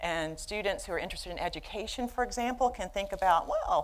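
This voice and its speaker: Woman with a Southern US accent, very wide pitch swings and a fairly quick pace. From US South, Birmingham, Alabama. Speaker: behavioral neuroscientist, professor. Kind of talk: lecture. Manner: halting, many fillers.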